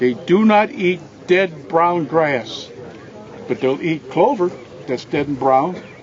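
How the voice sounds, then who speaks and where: A man with a high voice speaks very slowly, his intonation lively. Long pauses come often, over noticeable background noise. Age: 80s+. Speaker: deer habitat expert. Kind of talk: outdoor tour talk.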